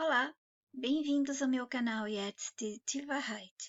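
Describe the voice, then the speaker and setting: The speaker goes at a very slow pace with fairly even intonation. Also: woman. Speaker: spiritual channel host. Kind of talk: spiritual monologue.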